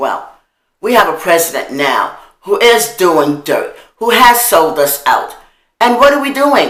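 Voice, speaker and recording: Fairly slow speech in an American accent, with very wide pitch swings, vocal fry and audible room echo. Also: woman, fairly high pitch for a woman. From New York, Harlem. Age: old. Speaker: video blogger. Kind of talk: monologue. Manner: animated.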